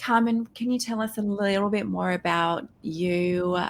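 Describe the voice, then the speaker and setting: A woman talks fairly slowly, and her pitch varies in an ordinary way. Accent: Australian. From Australia. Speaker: podcast host. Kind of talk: interview.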